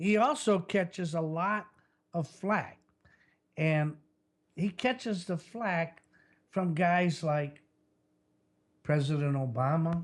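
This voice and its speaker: Pitched high, a man speaks very slowly with ordinary pitch variation. Long pauses come often. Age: 70s. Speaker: podcast host and business executive. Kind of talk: call-in talk show monologue. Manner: loud, plain-spoken; casual, halting.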